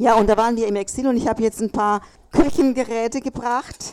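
Fairly even intonation from a woman with a fairly high pitch, at a moderate pace. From Chile. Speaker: contemporary witness. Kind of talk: panel talk. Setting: café event with audience.

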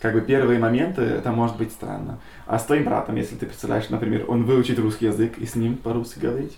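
Over noticeable background noise, a man speaks at a very fast pace with medium pitch and fairly even intonation. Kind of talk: interview. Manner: halting.

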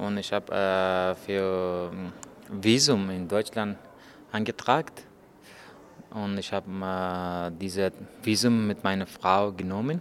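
A man speaks at a very slow pace with a fairly low pitch, fairly even intonation, and long, frequent pauses. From Afghanistan. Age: 30s. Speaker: journalist. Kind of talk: interview. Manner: halting.

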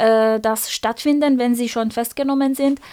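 A woman speaks in a Persian accent. The recording is very clean, with a silent background. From Iran. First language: Persian (speaking German). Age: 30s. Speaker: activist, pharmacy trainee. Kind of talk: interview. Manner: halting, many fillers.

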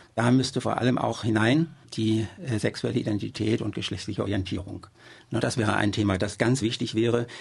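At a fairly quick pace, a man talks with vocal fry, a medium pitch and fairly even intonation. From Germany. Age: 70s. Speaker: local party politician. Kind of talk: interview. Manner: hesitant with fillers.

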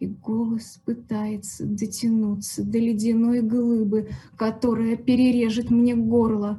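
A woman speaks at a very slow pace in a fairly high, somewhat breathy voice with a dark, mellow tone. Her intonation stays monotone and flat. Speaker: poet reading aloud. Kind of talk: poetry reading in a patient's voice, a stark first-person monologue.

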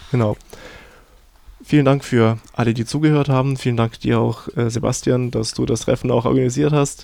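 A man's dark, mellow voice at medium pitch, moderate pace and flat, monotone intonation. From Ukraine. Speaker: radio host. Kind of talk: radio interview. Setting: radio studio.

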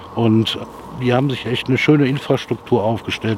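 Amid noticeable background noise, a man talks at a moderate pace with monotone, flat intonation. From Rhineland, Germany (Jülich). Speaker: local resident. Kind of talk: street interview. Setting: outdoors.

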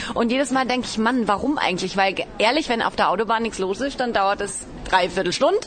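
A woman talks at a very fast pace. Her voice is fairly high, with noticeable background noise behind it. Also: ordinary pitch variation. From Baden-Baden, southwest Germany. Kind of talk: interview. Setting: outdoors.

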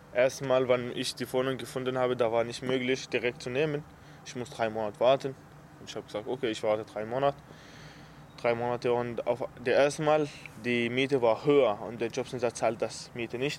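A man with an Arabic accent speaks at a medium pitch. His pace is fairly quick and his intonation fairly even. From Syria, Aleppo. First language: Arabic (speaking German). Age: 20s. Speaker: refugee and apprentice. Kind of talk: interview. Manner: halting.

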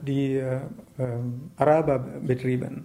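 Music can be heard in the background. A man talks over it in a medium pitch. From Sri Lanka. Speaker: writer and activist. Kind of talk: interview. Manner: halting, many hesitations.

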